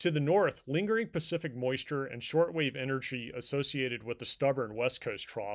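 On a very clean recording with a silent background, a man with an ordinary speaking voice talks at medium pitch and a fairly quick pace. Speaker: meteorologist. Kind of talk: weather report. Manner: formal; steady, measured, even-paced.

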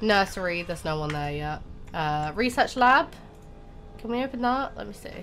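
A moderately paced woman's voice, music playing in the background. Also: medium pitch for a woman. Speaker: gaming YouTuber. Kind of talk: casual gameplay commentary.

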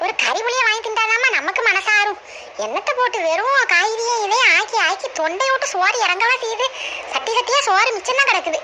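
In a cartoonish character voice with extremely high pitch, a woman talks at a moderate pace and very even loudness over clear background noise. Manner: brash, scolding.

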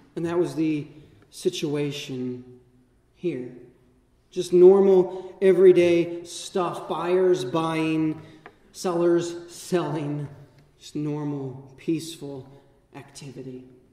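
Amid audible room echo, a high-pitched man speaks at a very slow pace with fairly even intonation and long, frequent pauses. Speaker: vicar preaching. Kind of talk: sermon. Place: church. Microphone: camera far.

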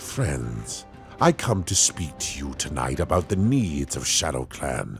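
A man's cartoonish character voice, menacing in tone and fairly slow, over clear background music. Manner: menacing, commanding.

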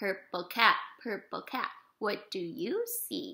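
A woman uses a raised, projected voice with an animated, playful tone. Her delivery is sing-song, with very wide pitch swings, and the background is quiet. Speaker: preschool teacher reading to young children. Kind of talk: interactive read-aloud of a children's picture book with animal sounds. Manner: sing-song, repetitive, gently animated with playful animal noises; warm, encouraging, pauses for children's answers. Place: home room. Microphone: webcam.

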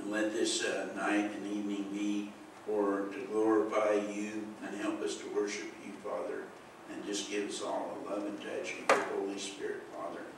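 A man talks at a moderate pace. The room echoes strongly, and background noise is noticeable. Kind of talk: prayer then sermon talk. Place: church.

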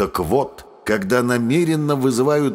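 Using an ordinary speaking voice, a man talks at a fairly slow pace with a medium pitch and ordinary pitch variation. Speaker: audiobook narrator. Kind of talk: reading aloud a historical parliamentary speech, audiobook style, with stage remarks.

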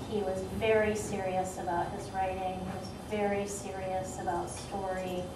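A woman speaks at a fairly slow pace, with noticeable background noise and audible room echo around her. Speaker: writer and critic. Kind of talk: panel discussion. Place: hall. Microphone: camera far.

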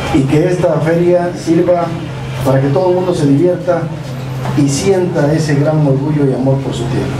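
A man's fairly high voice at a moderate pace, fairly even in intonation, with noticeable background noise. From Mexico, Oaxaca (Loma Bonita). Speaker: state government official. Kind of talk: official ceremony speech. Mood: grateful, proud. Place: street.

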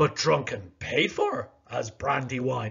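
In a put-on character voice, a man speaks fairly slowly at medium pitch. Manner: sneering, put-on.

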